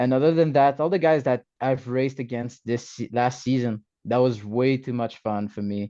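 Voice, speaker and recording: Over a quiet background, a man with a French-Canadian accent speaks at medium pitch and moderate pace, using ordinary pitch variation and a dark, mellow tone. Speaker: motorcycle racer. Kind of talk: interview. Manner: halting.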